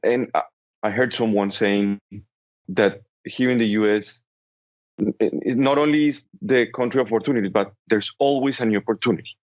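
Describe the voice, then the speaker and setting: Medium in pitch, a man speaks at a fairly quick pace with ordinary pitch variation. Long, frequent pauses break up his speech. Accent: strong Colombian. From Colombia, Bogota. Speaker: entrepreneur. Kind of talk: interview.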